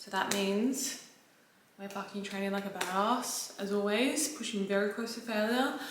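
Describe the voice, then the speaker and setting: Noticeable background noise and audible room echo accompany this clip. A woman speaks at a medium pitch with fairly even intonation. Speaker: fitness vlogger and online coach. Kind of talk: casual vlog. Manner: fast, filler-heavy chatter; quiet, holding voice down.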